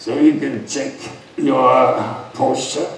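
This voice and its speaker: Audible room echo and light background noise accompany a man speaking at a very slow pace. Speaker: yoga teacher. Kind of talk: speech to an audience with Q&A. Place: stage.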